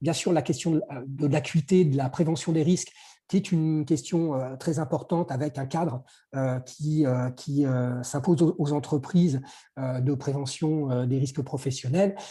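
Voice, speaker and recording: A man speaks at a fairly high pitch with a dark, mellow, somewhat breathy tone. His pitch varies in an ordinary way against a quiet background. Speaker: workplace conditions consultant. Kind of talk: webinar presentation. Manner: fast; halting.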